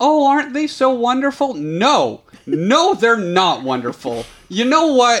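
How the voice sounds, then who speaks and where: This man's voice sits extremely high and swings very widely in pitch. He talks at a fairly slow pace. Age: 30s. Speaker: podcast host, ministry worker. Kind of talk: casual chat.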